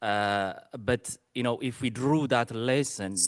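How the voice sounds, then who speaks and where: A man's voice with a dry, close sound, no echo, and a quiet background. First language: not English. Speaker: conference attendee asking questions. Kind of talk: audience question. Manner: halting, many fillers.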